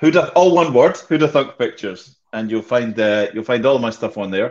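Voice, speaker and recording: At a moderate pace, a man talks in a strong Scottish accent. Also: lively intonation, quiet background. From Scotland. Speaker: sales and marketing professional; sales. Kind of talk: casual chat. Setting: video call. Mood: light, joking. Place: home room. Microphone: video call.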